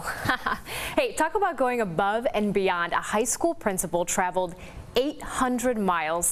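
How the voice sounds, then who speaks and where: Upbeat and bubbly, a woman with a fairly high voice speaks with lively intonation over noticeable background noise. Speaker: television news anchor. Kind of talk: TV news anchor reel. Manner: upbeat, bubbly, playful.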